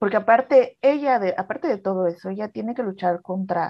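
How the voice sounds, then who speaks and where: With lively intonation and a dark, mellow tone, a woman talks at a moderate pace in a fairly high pitch. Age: 30s. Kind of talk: personal testimony in casual chat.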